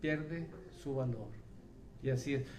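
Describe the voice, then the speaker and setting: Noticeable background noise and audible room echo behind a male speaker. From Colombia. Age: 70s. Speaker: pastor. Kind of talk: sermon. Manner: halting.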